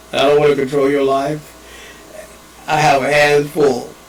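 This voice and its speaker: A man with a fairly high pitch talks at a fairly slow pace. Noticeable background noise and audible room echo are present. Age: 70s. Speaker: father and evangelist. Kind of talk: personal video message. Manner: rambling, halting.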